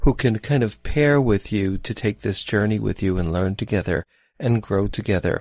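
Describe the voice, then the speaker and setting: A man speaks at a moderate pace and medium pitch in an ordinary speaking voice, with lively intonation. The recording is very clean with a silent background and a dry, close sound with no echo. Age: 60s. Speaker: psychotherapist and dating podcast host. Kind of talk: solo podcast talk with guided visualization.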